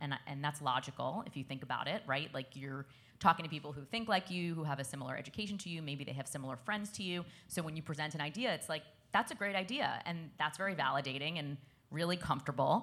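With an American accent, a woman speaks at a very fast pace in a very deep, low pitch, her bright, sharp tone showing big swings in loudness and ordinary pitch variation on a very clean recording with a silent background. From Brooklyn, New York. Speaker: sports league executive. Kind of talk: panel discussion.

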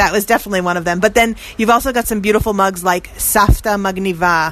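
A woman's medium-pitched voice carries fairly even intonation over noticeable background noise. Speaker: radio reporter host. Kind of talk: interview on location. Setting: outdoors street.

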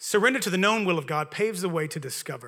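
This voice is raised and projected, with a bright, sharp tone and a Southern accent. It moves at a fairly quick pace with lively intonation. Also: man. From Louisiana. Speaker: pastor. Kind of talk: sermon. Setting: church.

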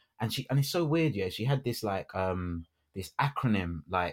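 In a London accent, the voice carries lively intonation on a very clean recording with a silent background. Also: man. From London, England. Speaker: radio broadcaster and actor. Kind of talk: casual chat. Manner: animated.

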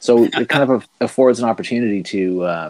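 Here a man speaks with an Atlantic Canadian accent. His pitch varies in an ordinary way. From Maritime Canada. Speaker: comic book writer. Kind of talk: casual interview.

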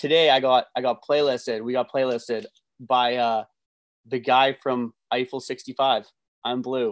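A man with a Canadian accent speaks in a normal speaking voice at a medium pitch. His pace is fairly slow and his intonation fairly even, the sound dry and close with no echo. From western Canada. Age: 30s. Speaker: DJ and music producer. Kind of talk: casual chat.

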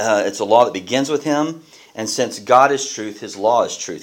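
Using a plain, everyday voice, a man talks at a moderate pace and medium pitch, with ordinary pitch variation. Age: 40s. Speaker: pastor. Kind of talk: sermon.

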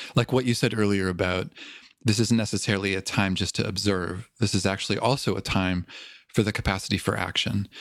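An ordinary speaking voice at a fairly quick pace in a very clean recording with a silent background. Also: man. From Canada, Toronto. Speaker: podcast host, mindfulness teacher. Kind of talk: interview.

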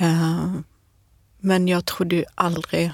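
The audio is very clean, with total silence behind. A woman's voice carries vocal fry. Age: 40s. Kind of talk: interview. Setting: studio.

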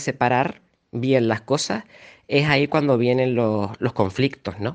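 A man's medium-pitched voice with ordinary pitch variation, at a moderate pace, against a quiet background. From Canary Islands, Tenerife. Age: 30s. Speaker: journalist. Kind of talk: interview. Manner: halting, with repetitions and fillers.

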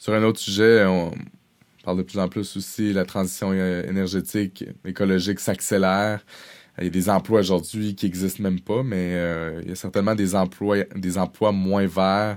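On a very clean recording with a silent background, a man speaks at a moderate pace in a very deep, low voice with monotone, flat intonation. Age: young. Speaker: podcast host, HR professional. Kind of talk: interview.

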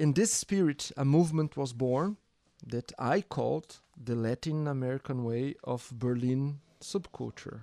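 The speaker has a dark, mellow tone and moves at a fairly slow pace. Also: man, medium pitch for a man, ordinary pitch variation. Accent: Portuguese. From Brazil, Sao Paulo periphery. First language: Portuguese. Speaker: DJ and record label founder. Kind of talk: casual conversation.

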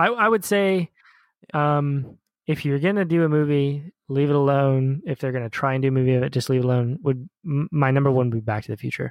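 A man talks at a fairly quick pace in an ordinary speaking voice, fairly high-pitched for a man, with ordinary pitch variation and a dry, close sound with no echo. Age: 30s. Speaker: movie podcast co-host. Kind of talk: casual chat.

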